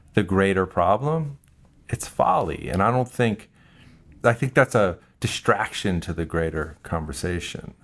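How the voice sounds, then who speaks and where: A man with a plain, everyday voice speaks at a moderate pace with lively intonation. The recording is very clean, with a silent background. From US Northeast (New Jersey). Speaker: cinematographer. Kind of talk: interview.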